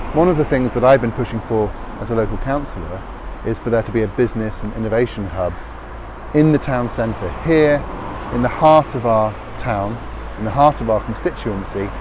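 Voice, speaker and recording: A medium-pitched man with an English accent and long, frequent pauses, over noticeable background noise. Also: ordinary pitch variation, fairly quick pace. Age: 40s. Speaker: politician. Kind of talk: campaign video.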